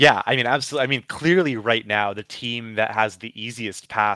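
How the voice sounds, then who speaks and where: A man with an unremarkable speaking voice talks at a moderate pace. His pitch sits in the medium range. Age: 20s. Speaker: hockey writer. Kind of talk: casual chat.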